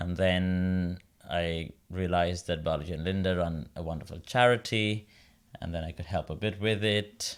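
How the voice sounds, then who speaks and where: A man speaks with a very deep, low pitch and fairly even intonation at a moderate pace. It's a very clean recording with a silent background. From India, Mumbai. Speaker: opera singer. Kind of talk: interview.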